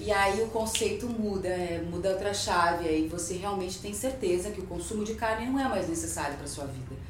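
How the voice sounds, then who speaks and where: A woman talks at a fairly quick pace with hardly any pauses, her medium pitch showing ordinary pitch variation, amid noticeable background noise and audible room echo. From southern Brazil (Rio Grande do Sul). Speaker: voice-over artist and actress. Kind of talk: casual interview.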